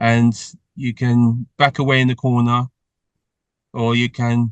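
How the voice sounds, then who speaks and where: A man at a very slow pace, with a dry, close sound and no echo. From London, England (northwest London). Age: 60s. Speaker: charity founder and TV professional. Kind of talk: interview. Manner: repetitive stammering starts.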